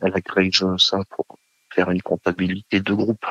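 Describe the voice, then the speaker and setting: In a dry, close sound with no echo, a man speaks at a very deep, low pitch with monotone, flat intonation. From Savoie, France. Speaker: former military nurse. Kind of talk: casual interview. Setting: phone call. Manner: hesitant, many fillers.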